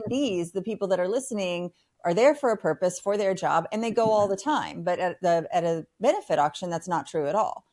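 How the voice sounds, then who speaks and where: In a very clean recording with a silent background, a woman with a plain, everyday voice and medium pitch talks at a fairly quick pace with hardly any pauses. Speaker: podcast host and nonprofit fundraising platform co-founder. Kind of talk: podcast interview host.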